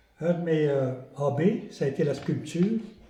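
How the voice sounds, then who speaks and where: In a room with audible echo, a man talks at a very slow pace, his tone dark and mellow. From Quebec, Lanaudière region. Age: 70s. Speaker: retired local resident. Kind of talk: group interview.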